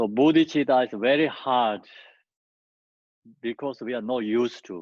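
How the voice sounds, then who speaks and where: Here a man speaks at a moderate pace in a non-native accent, with a medium pitch and ordinary pitch variation. The sound is dry and close with no echo, over a quiet background. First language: not English. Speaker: Buddhist teacher. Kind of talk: dharma teaching.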